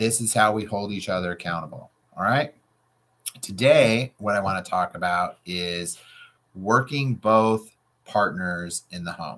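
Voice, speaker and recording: Loud and animated in tone, a man talks at a fairly slow pace with ordinary pitch variation. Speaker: real estate coach. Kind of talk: tutorial.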